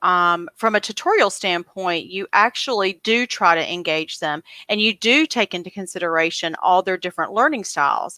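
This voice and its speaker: Bright and sharp in tone with a Southern US accent, the voice moves at a moderate pace with lively intonation, sounding dry and close with no echo on a very clean recording with a silent background. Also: woman. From US South, coastal North Carolina. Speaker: homeschool channel host. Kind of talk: casual interview.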